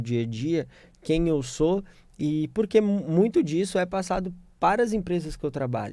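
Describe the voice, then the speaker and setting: Speaking at a fairly slow pace, a man has a dark, mellow tone on a very clean recording with a silent background. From Minas Gerais, Brazil (Belo Horizonte). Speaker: corporate lawyer. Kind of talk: radio interview. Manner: halting, many fillers.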